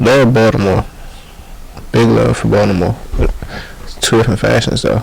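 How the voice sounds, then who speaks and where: At a moderate pace, a man talks while background noise is noticeable. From DMV area (Maryland/DC). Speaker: rapper. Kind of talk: casual interview chat. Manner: soft-spoken, does not project.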